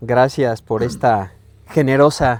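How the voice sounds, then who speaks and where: The voice belongs to a man. Its pitch sits in the medium range. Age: 60s. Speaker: podcast guest. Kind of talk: casual chat. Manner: halting.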